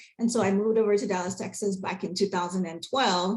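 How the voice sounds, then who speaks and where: A woman speaks at a very fast pace with fairly even intonation. Her voice is somewhat breathy. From Nigeria. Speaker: accountant. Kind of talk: webinar presentation.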